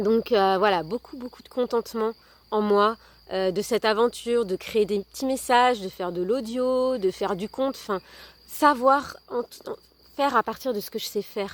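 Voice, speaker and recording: Moderate pace in a dry, close sound with no echo. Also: woman, fairly high pitch for a woman, ordinary pitch variation. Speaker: wellbeing content creator and storyteller. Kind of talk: personal testimony video monologue. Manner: hesitant, many fillers.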